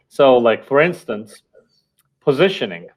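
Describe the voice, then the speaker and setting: Lively intonation at a moderate pace, in an Estonian accent. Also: man. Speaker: company founder and marketer. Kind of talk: interview podcast.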